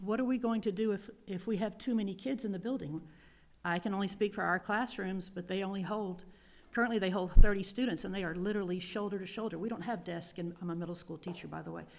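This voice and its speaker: On a very clean recording with a silent background, a woman speaks in a normal speaking voice at medium pitch and a fairly quick pace, with ordinary pitch variation. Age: 60s. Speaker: middle school teacher, public commenter. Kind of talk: public comment at school board meeting.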